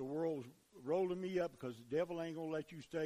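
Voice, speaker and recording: A fairly quick tempo in an unremarkable speaking voice. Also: man. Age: 60s. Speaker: preacher. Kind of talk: sermon. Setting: church.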